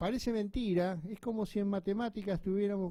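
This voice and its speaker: A man's high-pitched voice with a dark, mellow tone, moderate pace and quiet background. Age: old. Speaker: radio host. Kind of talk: casual chat.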